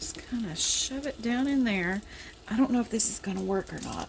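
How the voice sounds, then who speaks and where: Quiet speech with a Southern US accent moves at a moderate pace through very wide pitch swings over noticeable background noise. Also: woman. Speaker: home cooking vlogger. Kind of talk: cooking tutorial. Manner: halting.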